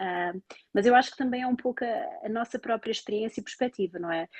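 A woman talks at a fairly quick pace in a fairly high pitch, with lively intonation. It is an unremarkable speaking voice, recorded dry and close with no echo. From Portugal, Lisbon area. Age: 30s. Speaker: Portuguese expatriate working in health research in Ireland. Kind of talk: interview, casual conversation about life abroad.

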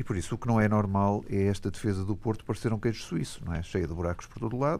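The background is silent in this very clean recording. A dark, mellow tone comes through. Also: man. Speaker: football pundit, club fan. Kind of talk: radio debate.

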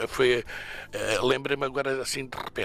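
This man speaks at a medium pitch with a bright, sharp tone. His intonation is monotone and flat. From Portugal, Alentejo (Moura). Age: 70s. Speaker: drag performer. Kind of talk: radio interview. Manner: hesitant with repetitions.

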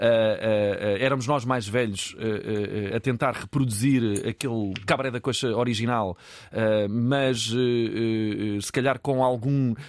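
At a very slow pace, a man speaks with a medium pitch and fairly even intonation. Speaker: television producer. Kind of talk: casual interview.

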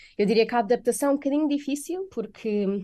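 A woman with a European Portuguese accent speaks in a dark, mellow tone. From Portugal. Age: 20s. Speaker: software developer. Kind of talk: radio interview. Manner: hesitant, many fillers.

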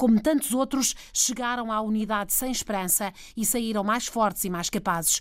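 With an ordinary speaking voice, a woman talks at a moderate pace and fairly high pitch, using ordinary pitch variation. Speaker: radio health reporter. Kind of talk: radio report narration.

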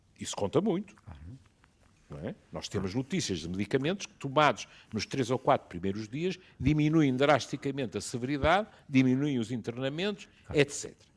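Big swings in loudness and very wide pitch swings mark a man speaking at medium pitch and a moderate pace. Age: 70s. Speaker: physician. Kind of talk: panel discussion.

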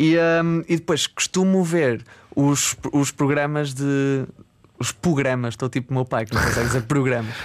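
A man with an ordinary speaking voice uses a fairly high pitch and ordinary pitch variation, keeping a moderate pace and very even loudness. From northern Portugal, Barcelos. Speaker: musician. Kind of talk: casual chat. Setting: studio, remote link.

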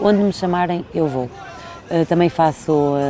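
The pitch variation is ordinary. Noticeable background noise is present. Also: woman. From Portugal. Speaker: event host and entertainer. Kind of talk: interview. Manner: animated.

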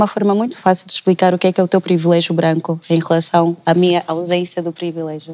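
Speaking very fast with hardly any pauses, a woman keeps a fairly low, monotone, flat delivery in a dry, close sound with no echo. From Angola. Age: 20s. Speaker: political science student. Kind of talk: panel discussion.

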